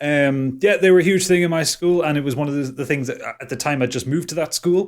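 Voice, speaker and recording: This man talks very fast in a strong northeast English accent. His pitch is fairly high, with ordinary variation. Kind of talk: casual, conversational.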